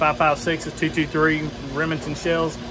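A man is speaking with noticeable background noise behind him. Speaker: homestead vlogger. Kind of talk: casual vlog chat. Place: garage. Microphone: phone near.

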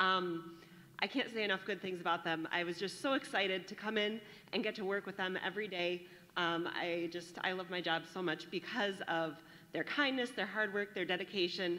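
The voice is loud, with a bright, sharp tone. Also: woman, ordinary pitch variation, moderate pace. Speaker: teacher of the advanced class; presenter introducing student speakers at a graduation ceremony. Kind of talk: warm, enthusiastic public speech. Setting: graduation ceremony, speaking to an audience. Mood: warm, enthusiastic, smiling. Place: hall.

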